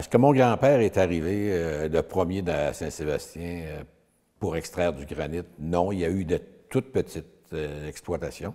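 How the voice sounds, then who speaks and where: The man's pitch is very deep and low. A dark, mellow tone colors his voice. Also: ordinary pitch variation, moderate pace. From Quebec, Eastern Townships. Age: 70s. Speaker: retired granite businessman. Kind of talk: interview.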